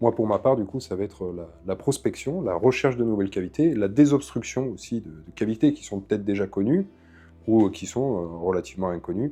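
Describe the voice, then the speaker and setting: Music plays in the background while a man with a fairly low pitch talks at a fairly quick pace. His intonation is lively, and his loudness swings widely. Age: 20s. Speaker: caver and documentary maker. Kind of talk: documentary interview.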